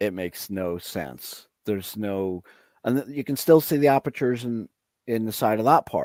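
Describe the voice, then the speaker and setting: A man speaks at medium pitch and a moderate pace in a normal speaking voice, with lively intonation. The very clean recording is dry and close, with no echo and a silent background. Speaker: guest presenting images of ancient structures. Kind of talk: casual chat while screen-sharing photos.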